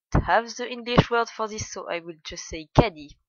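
In a French accent, a woman is talking. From France. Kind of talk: casual talk to camera.

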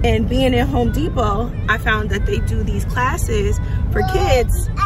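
With music in the background, a woman speaks at a fairly slow pace in a dry sound with no echo. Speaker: family vlogger. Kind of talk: casual vlog chat. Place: car. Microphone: phone near.

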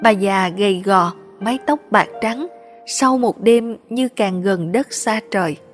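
Music plays in the background as the speaker moves at a very slow pace with ordinary pitch variation. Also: woman. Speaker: story narrator. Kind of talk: read social drama story. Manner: expressive, moving.

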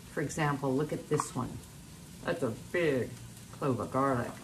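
Noticeable background noise accompanies a woman whose voice is very deep and low. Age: 70s. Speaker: cooking demonstrator and author. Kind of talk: cooking tutorial. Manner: animated. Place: kitchen.

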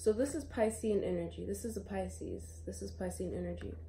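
Light background noise behind a woman speaking at a moderate pace. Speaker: tarot reader. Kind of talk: casual tarot reading chat. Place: home room. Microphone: phone near.

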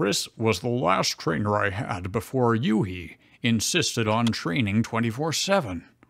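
A man uses a put-on character voice at a medium pitch. He speaks at a fairly slow pace. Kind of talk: comic fanfic reading. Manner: cool, low-voiced.

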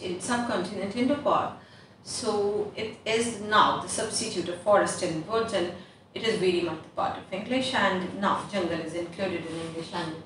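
A woman's voice with ordinary pitch variation, audible room echo and light background noise. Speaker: English teacher. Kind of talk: online lesson. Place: classroom. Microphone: camera far.

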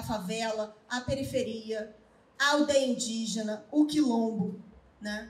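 Speaking at a very slow pace, a woman uses lively intonation. Audible room echo surrounds her voice. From Brazil, Rio de Janeiro. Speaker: university professor and researcher; speaker. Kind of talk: panel talk at book launch. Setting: live event with audience. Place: hall. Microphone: handheld.

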